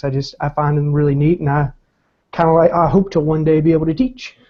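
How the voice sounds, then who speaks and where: Pitched fairly high, a man talks with fairly even intonation and a slight Southern US accent. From US South, Columbia, South Carolina. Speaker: philosophy graduate student. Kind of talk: casual discussion. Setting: video call.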